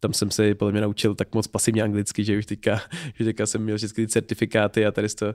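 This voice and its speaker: Monotone, flat intonation runs through a man's fairly low-pitched speech. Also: dry, close sound with no echo, very clean recording, silent background. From Czechia, Pardubice. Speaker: startup founder and lecturer. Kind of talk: interview.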